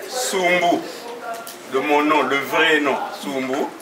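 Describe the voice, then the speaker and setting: A man's fairly high voice at a very slow pace, with audible room echo and noticeable background noise. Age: 80s+. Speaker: family elder. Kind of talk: ceremonial speech. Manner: halting.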